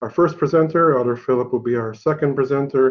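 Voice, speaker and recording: A man's ordinary speaking voice, medium in pitch, with ordinary pitch variation. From Haida Nation, British Columbia, Canada. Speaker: college director, event host. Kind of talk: formal presentation introduction. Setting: office, online presentation.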